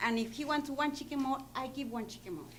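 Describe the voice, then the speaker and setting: A woman's high-pitched voice with ordinary pitch variation and audible room echo. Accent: non-native. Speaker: school cafeteria worker. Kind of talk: public comment at board meeting. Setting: school board meeting. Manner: halting.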